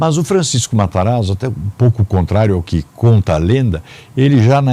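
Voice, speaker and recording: A man speaks at medium pitch with a dark, mellow tone. His pitch swings very widely at a moderate pace. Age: 60s. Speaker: businessman and public administrator. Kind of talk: interview. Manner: hesitant fillers.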